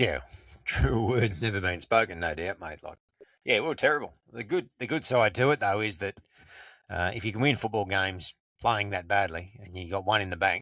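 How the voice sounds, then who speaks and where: At a fairly quick pace, a man with an Australian accent speaks at a fairly low pitch in a bright, sharp tone with big swings in loudness, the sound dry and close with no echo on a very clean recording with a silent background. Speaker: podcast co-host. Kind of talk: casual chat.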